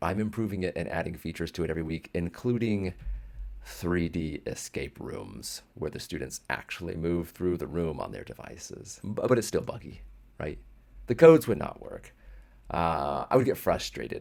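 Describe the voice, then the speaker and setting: With vocal fry and a very deep, low pitch, the man's voice swings widely in loudness. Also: moderate pace. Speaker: educator and app founder. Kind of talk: personal story and product walkthrough. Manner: casual, with some false starts.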